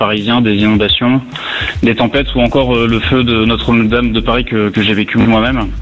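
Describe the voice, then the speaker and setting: A man's medium-pitched voice moves at a moderate pace in a monotone, flat intonation, with noticeable background noise behind it. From Lorraine, France. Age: 30s. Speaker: firefighter officer and author. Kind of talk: radio interview. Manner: hesitant with fillers.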